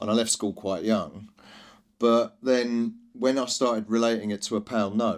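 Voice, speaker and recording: The speech moves at a moderate pace. It comes in a London accent. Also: man, medium pitch for a man. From East London, England. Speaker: drinks brand founder. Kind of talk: podcast interview. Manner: loud; energetic.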